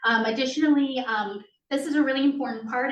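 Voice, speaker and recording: Hers is a plain, everyday voice, moving at a moderate pace with fairly even intonation. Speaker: school district compliance administrator. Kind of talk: presentation to school board. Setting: school committee meeting in library. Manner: many filler ums.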